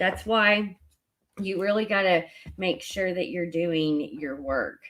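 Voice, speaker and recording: Very slow, lively intonation with a Southern US accent. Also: woman. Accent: Southern US twang. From US South. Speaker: spiritual card reader. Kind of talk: live-stream oracle card reading. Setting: live stream on social media. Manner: casual, with many fillers.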